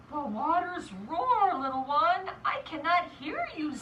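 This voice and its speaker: Using a put-on character voice at an extremely high pitch, a woman speaks at a fairly slow pace with lively intonation over clear background noise. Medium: read story.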